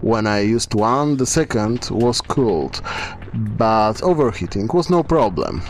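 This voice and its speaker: With a non-native accent and lively intonation, the speaker goes at a fairly slow pace over music in the background. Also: man. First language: not English. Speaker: miniature painting hobbyist. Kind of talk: tutorial.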